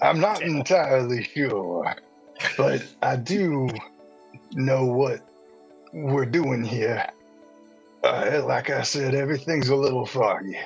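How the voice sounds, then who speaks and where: A man uses a put-on character voice at a medium pitch, speaking at a fairly slow pace. Faint music plays in the background. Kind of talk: old-fashioned.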